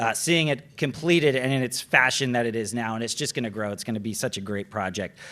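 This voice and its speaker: Loud and lively in intonation, a man speaks with a bright, sharp tone. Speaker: TV transportation reporter, awards presenter. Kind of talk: awards ceremony presenting. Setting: gala stage with audience. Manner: loud, projecting; casual, conversational.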